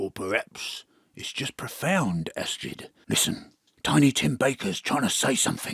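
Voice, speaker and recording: In a put-on character voice with a Cockney accent, a man speaks at a moderate pace, his medium-pitched voice raspy. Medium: audio drama. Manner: breezy, cheeky.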